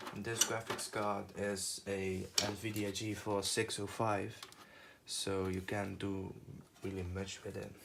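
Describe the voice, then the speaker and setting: A monotone, flat delivery at a very slow pace, with audible room echo. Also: man, fairly low pitch for a man. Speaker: tech youtuber. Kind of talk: tutorial. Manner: halting, many fillers.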